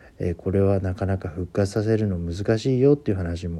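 With a very deep, low pitch and a dark, mellow tone, a man speaks with ordinary pitch variation in a very clean recording with a silent background. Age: 40s. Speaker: office worker podcaster. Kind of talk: solo talk monologue. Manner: many filler sounds, hesitant.

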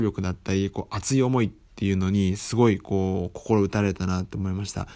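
Moderately paced speech, the recording very clean and the background silent. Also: man. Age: 20s. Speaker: podcast host, freelancer. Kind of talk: solo book review talk. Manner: many fillers, hesitant.

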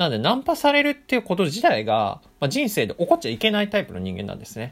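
The man speaks at a fairly quick pace. His pitch swings very widely. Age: 20s. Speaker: podcaster and office worker. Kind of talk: casual solo storytelling. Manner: animated.

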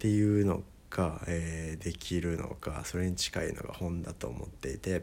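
Here a man speaks at a moderate pace in a very deep, low pitch. His intonation is fairly even. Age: 20s. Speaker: musician and podcaster. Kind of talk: casual solo talk. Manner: many filler words.

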